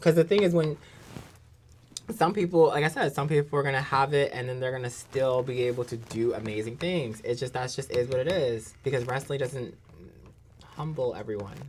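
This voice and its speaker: Talking at a fairly quick pace, a woman with a New Jersey accent has a very deep, low pitch. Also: ordinary pitch variation. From New Jersey, Jersey City. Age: 30s. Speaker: pro wrestler. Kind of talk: podcast interview. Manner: animated.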